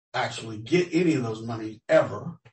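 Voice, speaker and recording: A man talks at a moderate pace in a somewhat breathy voice. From Los Angeles, US. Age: 60s. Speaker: tenant interviewee. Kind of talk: research interview. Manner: halting.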